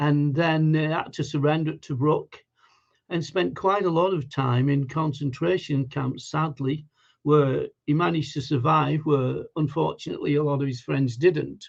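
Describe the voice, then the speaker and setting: Speaking in a Lancashire accent, a man with a fairly high voice moves at a moderate pace and keeps his intonation fairly even. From northern England, Lancashire (Wigan). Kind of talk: testimony. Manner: hesitant, many fillers.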